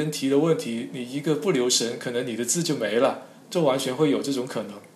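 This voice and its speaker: There is noticeable background noise as a man talks at a medium pitch with ordinary pitch variation. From Zhanjiang, Guangdong, China. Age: young. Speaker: character encoding expert. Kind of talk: interview. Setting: online call. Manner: halting.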